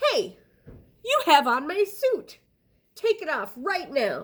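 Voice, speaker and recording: In a put-on character voice, a woman speaks at an extremely high pitch with very wide pitch swings. Her pace is fairly slow. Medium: read story. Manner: stern, commanding.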